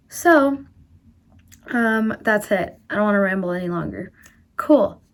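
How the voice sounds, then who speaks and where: With lively intonation and a fairly high pitch, a woman speaks at a fairly slow pace. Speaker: book vlogger. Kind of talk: casual vlog. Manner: animated.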